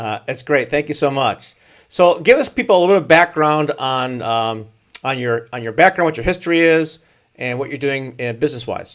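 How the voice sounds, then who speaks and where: A man's unremarkable speaking voice with an American accent, fairly high for a man, with ordinary pitch variation, a moderate pace and a quiet background. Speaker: live show host. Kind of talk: casual interview.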